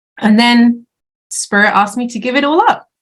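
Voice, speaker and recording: This woman has a British accent. She talks fairly quickly with lively intonation. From UK. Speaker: chief operating officer. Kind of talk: casual podcast interview.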